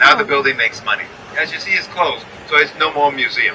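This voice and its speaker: Very fast speech in an American accent over noticeable background noise. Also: man. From New York. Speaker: tour guide. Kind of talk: guided tour commentary.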